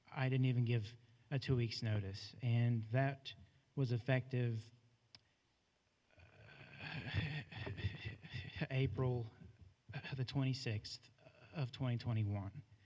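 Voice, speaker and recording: The voice has a dark, mellow tone, somewhat breathy, with fairly even intonation and very even loudness. It moves at a very slow pace with long, frequent pauses. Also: man, medium pitch for a man. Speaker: former school janitor. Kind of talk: public comment at board meeting. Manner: halting, many fillers.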